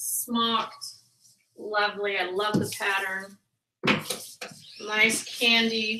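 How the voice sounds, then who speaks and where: A woman's fairly high, bright, sharp voice in a flat monotone, very slow with long, frequent pauses and audible room echo. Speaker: online reseller and live stream host. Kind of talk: casual live stream chat. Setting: live video hangout.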